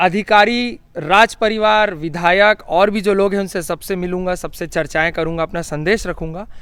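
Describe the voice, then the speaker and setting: Over noticeable background noise, a high-pitched man talks with ordinary pitch variation and hardly any pauses. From India, Chhattisgarh (Rajnandgaon). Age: 20s. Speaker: long-distance cyclist and activist. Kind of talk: interview.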